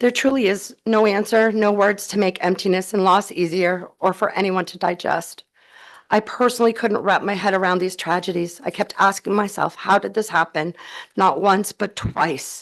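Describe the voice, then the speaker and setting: Against a quiet background, a shaky voice moves at a moderate pace with fairly even intonation. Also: woman, medium pitch for a woman. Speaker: advocate testifying at legislative hearing. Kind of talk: public testimony. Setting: legislative committee hearing room. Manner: shaky, emotional.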